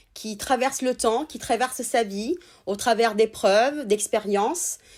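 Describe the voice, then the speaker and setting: On a very clean recording with a silent background, a woman with a fairly high pitch and ordinary pitch variation speaks with big swings in loudness. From Italy. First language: Italian (speaking French). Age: 30s. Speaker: sex therapist. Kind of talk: interview conversation.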